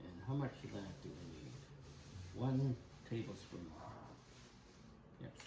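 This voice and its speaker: Over noticeable background noise and audible room echo, a man speaks at a fairly slow pace with long, frequent pauses. His pitch swings very widely, and his loudness rises and falls sharply. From Canada. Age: 70s. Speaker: woodturning channel host, grandfather. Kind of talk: casual cooking chat.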